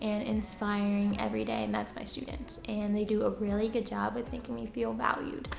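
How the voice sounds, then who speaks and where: Soft-spoken and fairly high-pitched, a woman talks over music in the background with audible room echo. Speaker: teacher and YouTuber. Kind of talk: casual Q&A vlog.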